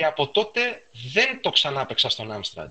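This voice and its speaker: A man talks at a moderate pace. His fairly high voice moves in very wide pitch swings. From Piraeus, Greece. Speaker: retro computing enthusiast. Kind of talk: casual chat.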